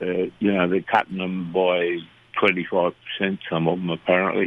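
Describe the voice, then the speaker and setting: A man's very deep, low voice with monotone, flat intonation at a fairly slow pace. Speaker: local fishing reporter. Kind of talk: casual chat.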